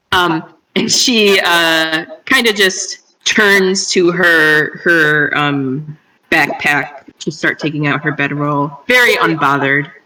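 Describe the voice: A woman speaks slowly in a low voice with a bright, sharp tone. Her pitch moves in an ordinary way.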